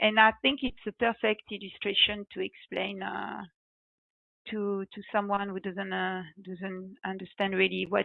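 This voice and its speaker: In a strong French accent, a woman talks at a fairly slow pace. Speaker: reservoir engineer, guest speaker. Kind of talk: webinar presentation. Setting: online webinar. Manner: halting, many fillers.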